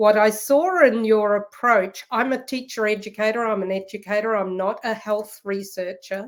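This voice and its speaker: On a very clean recording with a silent background, a woman with a New Zealand accent speaks at a fairly high pitch, a moderate pace and with fairly even intonation. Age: 60s. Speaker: professor. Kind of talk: interview.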